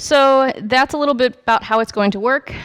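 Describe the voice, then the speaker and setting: The woman has an unremarkable speaking voice and talks at a moderate pace with ordinary pitch variation. The background is quiet. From United States. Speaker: software developer, conference speaker; conference speaker. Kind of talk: technical talk. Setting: meetup talk with live audience. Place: hall. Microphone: headset.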